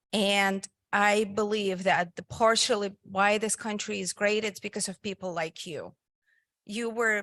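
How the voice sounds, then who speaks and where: A woman with a strong Russian accent and a medium-pitched voice, fairly slow and fairly even in intonation, in a very clean recording with a silent background and a dry, close sound with no echo. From Soviet Union (Russia). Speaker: physical therapist and nonprofit founder. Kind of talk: invited talk. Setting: meeting hall with live audience.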